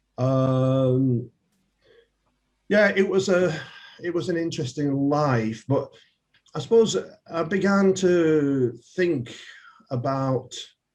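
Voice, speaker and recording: A man in a Yorkshire accent with lively intonation. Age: 70s. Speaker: politician. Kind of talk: interview.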